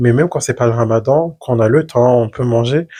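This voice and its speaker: Somewhat breathy and dark and mellow in tone, a man talks at a fairly quick pace. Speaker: podcast co-host. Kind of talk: casual chat. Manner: fast.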